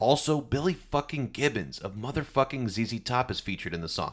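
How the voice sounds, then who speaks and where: A man with an unremarkable speaking voice talks at a fairly quick pace with lively intonation. The recording is very clean, with a silent background. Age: 30s. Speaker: music history podcaster. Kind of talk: scripted narration.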